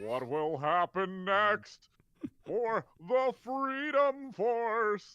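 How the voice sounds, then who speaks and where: Using a put-on character voice, the speaker projects loudly and talks at a very slow pace. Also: man, high pitch for a man. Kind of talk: announcer-like.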